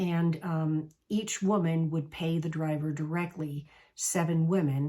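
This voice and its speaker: A woman's very deep, low voice, dark and mellow and somewhat breathy, at a very slow pace on a very clean recording with a silent background. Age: 60s. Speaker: travel coach. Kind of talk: casual talk to camera.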